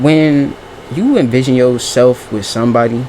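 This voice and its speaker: Noticeable background noise runs under this man's voice. He speaks at medium pitch with fairly even intonation. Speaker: vlogger. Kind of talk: casual monologue. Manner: fast; halting.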